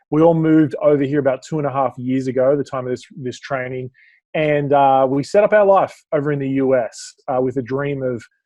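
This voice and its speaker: Fairly high in pitch, a man speaks with an Australian accent and fairly even intonation. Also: fairly quick pace. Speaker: business speaker and coach. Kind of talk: podcast interview.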